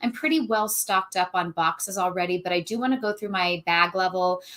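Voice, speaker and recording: A woman of medium pitch talks at a fairly quick pace with ordinary pitch variation on a very clean recording with a silent background. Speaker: online reseller. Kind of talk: casual chat. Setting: livestream. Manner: fast; animated.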